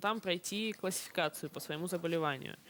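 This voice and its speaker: In a very clean recording with a silent background, a woman talks at a moderate pace with medium pitch and ordinary pitch variation. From Russian Far East, Kamchatka (Petropavlovsk-Kamchatsky). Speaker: Paralympic swimmer. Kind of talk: interview with children. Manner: hesitant, with fillers.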